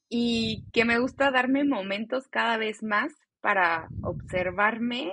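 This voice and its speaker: A woman speaks with lively intonation. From Mexico, Celaya, Guanajuato; teen years in Chicago. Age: 20s. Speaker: podcast co-host, educator and meditation guide. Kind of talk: casual chat.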